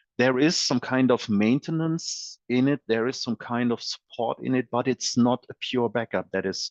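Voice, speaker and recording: In a German accent, a man speaks fairly slowly at a medium pitch with ordinary pitch variation, in a dry, close sound with no echo against a quiet background. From Germany. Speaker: software company presales expert. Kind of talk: webinar presentation. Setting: online webinar. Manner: halting, many fillers and repeated words.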